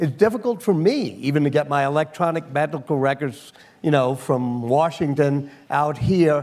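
A man's ordinary speaking voice, fairly high-pitched, at a moderate pace with ordinary pitch variation. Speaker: interviewer. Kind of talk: interview.

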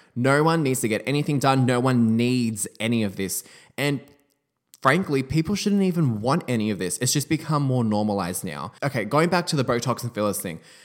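With an Australian accent, a man talks fairly quickly at medium pitch with lively intonation. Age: 20s. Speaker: podcast host and beauty entrepreneur. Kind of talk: casual solo podcast monologue.

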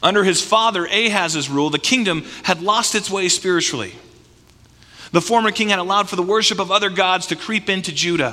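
Raised, projected male voice with a bright, sharp tone, high pitch for a man and a fairly quick pace. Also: ordinary pitch variation. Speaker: pastor. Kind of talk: sermon; fervent prayer. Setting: church. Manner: earnest, heartfelt, fervent.

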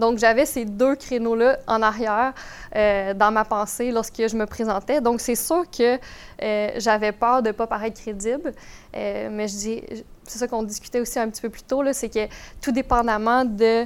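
A woman with an ordinary speaking voice talks at a fairly slow pace and fairly high pitch, her intonation fairly even, on a very clean recording with a silent background. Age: 20s. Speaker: real estate investor. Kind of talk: podcast interview.

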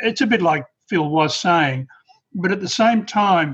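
With an Australian accent, a man talks at a high pitch. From rural Australia. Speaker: participant. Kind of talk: casual discussion.

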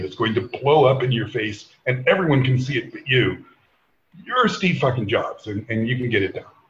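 The voice is somewhat breathy with lively intonation. It moves at a moderate pace. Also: man. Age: 50s. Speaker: former tech executive. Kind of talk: casual chat.

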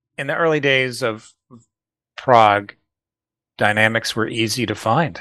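A man with a bright, sharp tone and ordinary pitch variation leaves long, frequent pauses. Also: medium pitch for a man, fairly slow pace. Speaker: podcast co-host. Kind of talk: casual chat.

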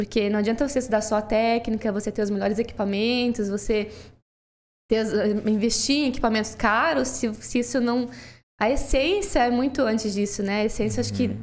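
An ordinary speaking voice, a woman talks at a fairly quick pace with a fairly high pitch and fairly even intonation. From southern Brazil, Toledo (Paraná). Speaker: photographer. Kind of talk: casual interview.

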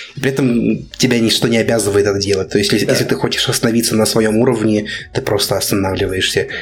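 Speaking at a very fast pace, a man uses a fairly low pitch with fairly even intonation and very even loudness. Noticeable background noise runs under his voice. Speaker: gacha game fan. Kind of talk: casual chat.

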